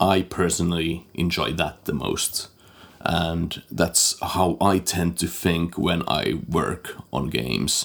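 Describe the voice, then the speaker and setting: Here a man speaks with a very deep, low pitch. Vocal fry runs through his voice. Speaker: game composer and sound designer. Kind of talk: casual interview chat.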